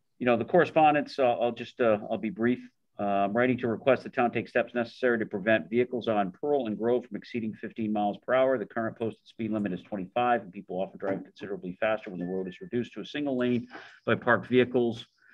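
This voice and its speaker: Against a quiet background, the man's words come at a very fast pace. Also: ordinary pitch variation. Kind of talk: meeting discussion, reading a letter aloud. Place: meeting room. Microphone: video call.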